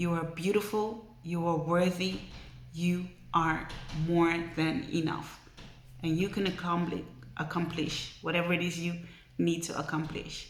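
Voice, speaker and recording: In a room with audible echo, a woman with a fairly low pitch speaks in a monotone, flat intonation at a fairly slow pace, leaving long, frequent pauses. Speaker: vlogger. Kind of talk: motivational vlog talk. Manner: emotional, earnest.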